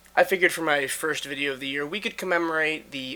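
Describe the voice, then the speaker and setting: Fairly high in pitch with a bright, sharp tone, a man talks at a fairly quick pace. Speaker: political commentator. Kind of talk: casual political analysis to camera.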